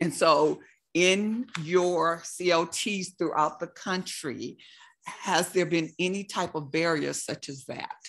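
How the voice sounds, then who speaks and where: Very slowly and with fairly even intonation, a woman speaks in a fairly low voice with vocal fry. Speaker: audience member asking questions; audience member. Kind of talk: Q&A question. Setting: video call. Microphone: video call.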